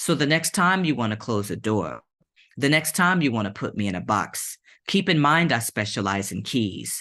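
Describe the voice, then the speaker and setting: A man talks at a moderate pace with a bright, sharp tone and very wide pitch swings. The background is quiet. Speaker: poet. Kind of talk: poetry reading; casual chat. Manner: casual, many fillers.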